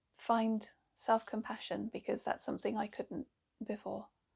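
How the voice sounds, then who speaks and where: Vocal fry runs through a woman's fairly high voice as she speaks at a moderate pace. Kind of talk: personal talk to camera.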